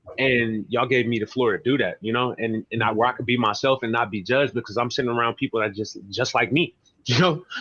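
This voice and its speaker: At a very fast pace, a man speaks in a bright, sharp tone. His pitch is medium, with ordinary pitch variation. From San Francisco. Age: 20s. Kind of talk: interview answer. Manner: casual, hesitant.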